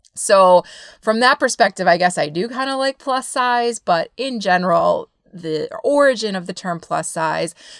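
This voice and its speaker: Lively in intonation and animated in tone, a woman speaks at a moderate pace. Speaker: running coach and podcast host. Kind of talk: podcast monologue. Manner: loud, boisterous.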